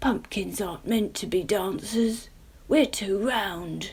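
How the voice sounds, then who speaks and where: A raspy, put-on character voice talks at a fairly slow pace with ordinary pitch variation. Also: woman, medium pitch for a woman. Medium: read story.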